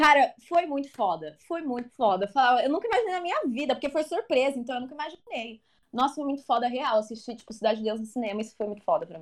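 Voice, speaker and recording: A woman's high-pitched, very fast speech with very wide pitch swings and hardly any pauses. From Brazil, São Paulo area. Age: 20s. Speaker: film enthusiast. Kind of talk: casual chat.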